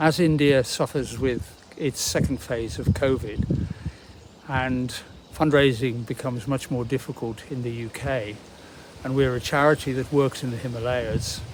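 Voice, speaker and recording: A man speaks with a British accent and fairly even intonation. Noticeable background noise runs behind him. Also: medium pitch for a man, moderate pace. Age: 80s+. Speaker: charity chief executive. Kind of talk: appeal talk to camera. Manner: halting, with many fillers.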